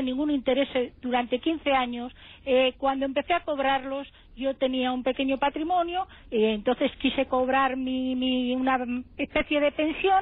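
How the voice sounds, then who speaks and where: Here a woman speaks with a high pitch. Her intonation is fairly even. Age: 70s. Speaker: caller, affected investor. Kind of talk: testimony.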